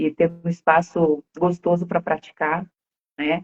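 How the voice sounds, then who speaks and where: At a fairly slow pace, a woman speaks with a strong Rio Grande do Sul accent and fairly low pitch. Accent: strong gaúcho (Rio Grande do Sul). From Rio Grande do Sul, Brazil. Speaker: co-host of English conversation project. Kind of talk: casual chat on live stream. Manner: animated.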